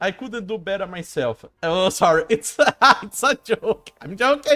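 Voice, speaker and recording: A fairly slow delivery with a non-native accent. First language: not English. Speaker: gaming streamer. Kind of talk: casual live stream commentary. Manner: halting, with filler words.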